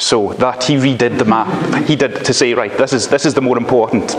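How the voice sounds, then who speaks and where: A man with a strong Scottish accent talks at a fairly quick pace with ordinary pitch variation over noticeable background noise. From Scotland. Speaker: law lecturer. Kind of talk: lecture. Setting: university library, live stream.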